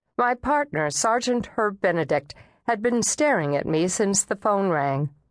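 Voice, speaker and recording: Against a quiet background, a woman with a medium pitch speaks in a dramatic tone at a fairly slow pace. Her intonation is lively. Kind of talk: audiobook narration, first-person thriller read aloud. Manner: dramatic, measured, shifting into character voices.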